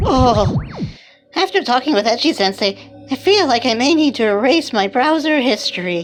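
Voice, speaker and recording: Over clear background music, a female-sounding put-on character voice speaks at a moderate pace with a high pitch. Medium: comedy sketch. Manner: musing, earnest.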